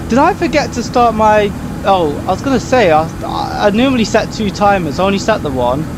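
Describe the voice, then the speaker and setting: With audible room echo and noticeable background noise, a man speaks at a fairly quick pace in a high pitch with very wide pitch swings. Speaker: flight simulator streamer. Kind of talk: live gameplay stream commentary. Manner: quiet, focused.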